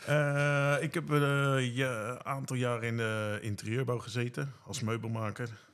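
With audible room echo, a man speaks at a medium pitch and a fairly slow pace. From Netherlands, Bunschoten. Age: 40s. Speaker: care worker. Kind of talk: casual interview.

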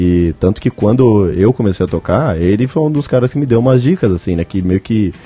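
An unremarkable speaking voice from a man, pitched fairly low, with lively intonation and hardly any pauses. The sound is dry and close, with no echo. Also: fairly quick pace. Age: 20s. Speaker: podcast host. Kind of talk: casual chat.

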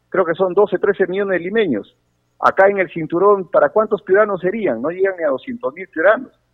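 A man's voice, high in pitch. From Sechura, Piura, northern Peru. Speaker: congressman. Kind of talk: radio interview. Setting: phone call. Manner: halting.

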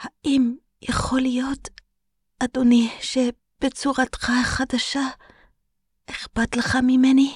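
A high, shaky put-on character voice with long, frequent pauses. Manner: fearful, pleading.

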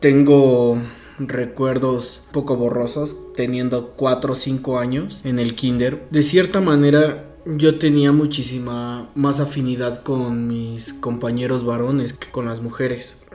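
Very slow, fairly even speech from a man, with audible room echo and noticeable background noise. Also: medium pitch for a man. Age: 20s. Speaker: interviewee sharing coming-out story. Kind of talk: testimony.

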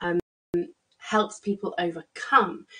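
A woman speaks with an English accent and ordinary pitch variation. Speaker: psychologist and business coach. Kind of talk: solo business tutorial. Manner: casual, hesitant with fillers.

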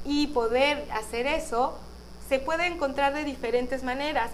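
With audible room echo and music in the background, a woman talks at a fairly slow pace in a high-pitched voice. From Mexico, Guadalajara, Jalisco. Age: 30s. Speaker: podcast host and spiritual guide. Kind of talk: spiritual talk on live podcast stream. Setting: live stream on video.

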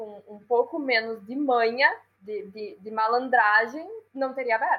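Speaking at a fairly slow pace, a woman has a high-pitched voice. Her pitch varies in an ordinary way. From Brazil, Rio Grande do Sul (Passo Fundo). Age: 20s. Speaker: entrepreneur. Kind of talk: interview.

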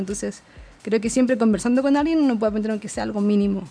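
Over music in the background, someone speaks at a very fast pace with fairly even intonation. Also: woman. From Chile, Concepción. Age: 20s. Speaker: traveler. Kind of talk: interview.

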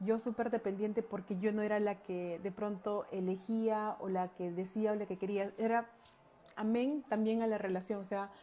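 A woman with a dark, mellow tone speaks at a medium pitch. Her intonation stays flat and monotone at a moderate pace. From Peru, Andahuaylas (Apurímac). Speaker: holistic coach. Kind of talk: personal testimony talk. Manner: hesitant, many fillers.

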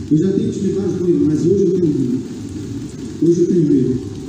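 Over noticeable background noise, a man with a high pitch and a warm tone talks at a fairly quick pace with fairly even intonation. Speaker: pastor. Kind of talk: sermon. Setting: church, livestreamed. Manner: earnest, pleading exhortation, warm and reassuring; rhythmic, repeating phrases for emphasis.

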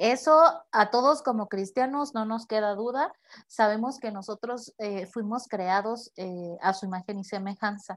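A woman with a fairly high pitch shows ordinary pitch variation and big swings in loudness. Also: fairly slow pace, very clean recording, silent background. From Mexico, Tepic, Nayarit. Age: 30s. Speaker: psychologist. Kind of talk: casual interview conversation.

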